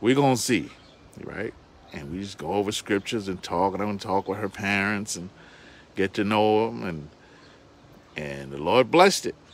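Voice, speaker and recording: An animated man speaks at a moderate pace, with long, frequent pauses. His pitch is fairly low, with ordinary variation. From New York City. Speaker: bible teacher. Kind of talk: sermon.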